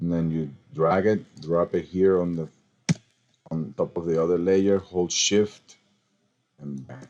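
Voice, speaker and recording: A man's very deep, low voice with a non-native accent, at a fairly slow pace with long, frequent pauses. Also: ordinary pitch variation. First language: not English. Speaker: design software tutorial maker. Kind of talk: screen-recorded tutorial. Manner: casual, animated; halting, with fillers.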